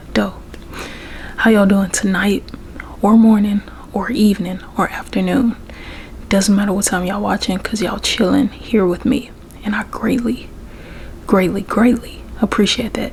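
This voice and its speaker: Soft-spoken and in a Southern US accent, a woman of medium pitch talks at a moderate pace with fairly even intonation and long, frequent pauses, amid noticeable background noise. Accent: Southern American. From Memphis, Tennessee. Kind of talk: ASMR soft-spoken talk to camera.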